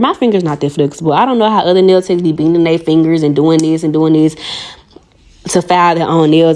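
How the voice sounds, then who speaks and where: A woman with a strong Southern US accent, fairly low pitch and an animated tone, racing at a very fast pace over noticeable background noise. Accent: strong Southern country. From US South, Arkansas. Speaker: nail artist and video creator. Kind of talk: tutorial with casual chat.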